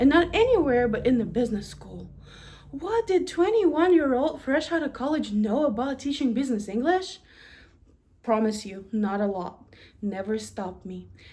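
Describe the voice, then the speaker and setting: A woman with a Russian accent speaks at a high pitch with very wide pitch swings. Her tone is dark and mellow. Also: moderate pace, big swings in loudness. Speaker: university administrator. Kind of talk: prepared presentation.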